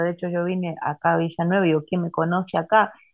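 A woman speaks with a Rioplatense accent. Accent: Argentine Spanish (rioplatense). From Argentina, Santa Fe province. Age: 50s. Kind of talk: interview testimony.

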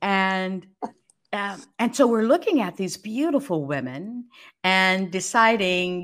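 A woman at medium pitch with an American accent and lively intonation, an unremarkable speaking voice, on a very clean recording with a silent background. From California (Los Angeles, Fresno). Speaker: former news anchor. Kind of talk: interview.

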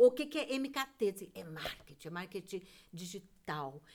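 A woman speaks fairly slowly, her pitch swinging very widely. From southern Brazil, Rio Grande do Sul. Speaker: theatre director and teacher. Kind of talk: casual chat.

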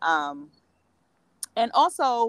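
A woman speaks with a New Jersey accent. Her pitch swings very widely. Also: dry, close sound with no echo. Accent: New Jersey, urban East Coast. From New Jersey, Atlantic City. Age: 40s. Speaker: women's coach. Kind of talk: casual interview.

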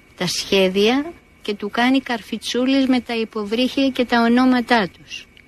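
Fairly slow, fairly high-pitched speech from a woman amid noticeable background noise. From Greece, Athens. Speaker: painter and retired art teacher. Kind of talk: personal testimony.

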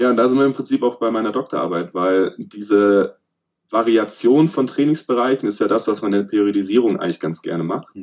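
With a normal speaking voice and ordinary pitch variation, the words come at a fairly quick pace. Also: man, medium pitch for a man. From southern Germany, Remstal east of Stuttgart (Swabia). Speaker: sports scientist and lecturer. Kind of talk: interview.

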